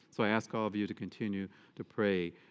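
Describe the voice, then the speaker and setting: A man with an American accent has a plain, everyday voice with a fairly low pitch. He speaks at a fairly quick pace with fairly even intonation. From Michigan, US Midwest. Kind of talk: sermon; parish announcements. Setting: church.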